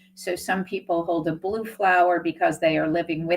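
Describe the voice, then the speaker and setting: A normal speaking voice from a woman, pitched fairly low, with fairly even intonation and a moderate pace. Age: 60s. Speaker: nonprofit executive director. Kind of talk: interview.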